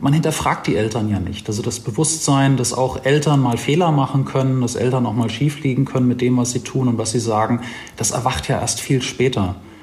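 Amid noticeable background noise, a man talks at a fairly quick pace and medium pitch. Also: ordinary pitch variation. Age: 40s. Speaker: life coach. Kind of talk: interview.

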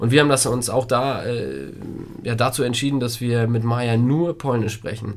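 A man with a plain, everyday voice, medium pitch, fairly even intonation and a moderate pace. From Germany (grew up with Polish-speaking parents). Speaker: podcast co-host, father. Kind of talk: casual chat.

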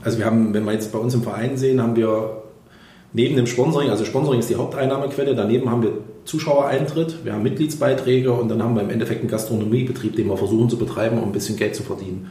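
A medium-pitched man talks at a very fast pace with fairly even intonation. Audible room echo surrounds his voice. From Thuringia, Germany (Erfurt). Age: 40s. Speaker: engineering firm owner and ice hockey club president. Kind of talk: podcast interview.

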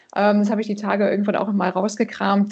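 This woman's medium-pitched voice is somewhat breathy. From Canada. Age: 40s. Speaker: financial advisor. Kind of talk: interview.

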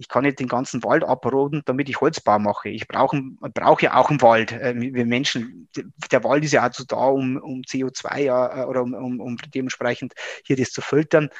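This man talks at a moderate pace in a medium pitch, his intonation monotone and flat, with big swings in loudness and a dry, close sound with no echo. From Upper Palatinate, Bavaria (Regensburg area). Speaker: engineering professor. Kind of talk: interview. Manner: halting, many fillers.

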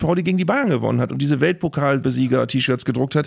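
A man's very fast speech at a fairly high pitch, with vocal fry and ordinary pitch variation. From northern Germany, Bremen. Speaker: sports broadcaster and stadium announcer. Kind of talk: casual chat.

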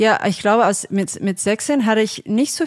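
On a very clean recording with a silent background and a dry, close sound with no echo, a woman with an Australian accent speaks at a fairly slow pace in a medium pitch. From Australia, Sydney suburbs. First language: English (speaking German). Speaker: singer-songwriter and producer. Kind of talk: casual interview. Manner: halting, many fillers.

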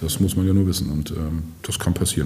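A man's very fast speech with audible room echo and noticeable background noise. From northern Germany, Schleswig. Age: 50s. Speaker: mayor. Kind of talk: casual interview. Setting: office.

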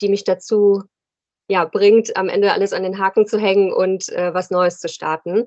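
At a fairly slow pace, a woman talks with monotone, flat intonation. Her pitch sits in the medium range. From Rhein-Main area, Germany. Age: 30s. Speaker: fashion entrepreneur. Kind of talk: casual interview.

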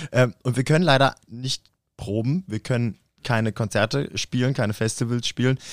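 A plain, everyday voice speaks at a moderate pace with ordinary pitch variation, in a dry, close sound with no echo. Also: man, medium pitch for a man. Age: 30s. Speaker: podcast co-host, drummer and photographer. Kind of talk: casual chat. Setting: rehearsal room.

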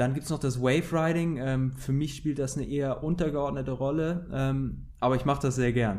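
At a moderate pace and medium pitch, a man speaks in an unremarkable speaking voice. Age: 20s. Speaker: professional windsurfer. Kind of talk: interview.

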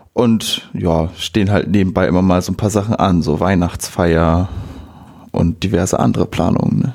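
A man with a very deep, low pitch and vocal fry at a moderate pace. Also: ordinary pitch variation, very even loudness. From northern Germany, Friesland (Bockhorn). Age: 20s. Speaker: electronics apprentice, volunteer. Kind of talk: casual interview.

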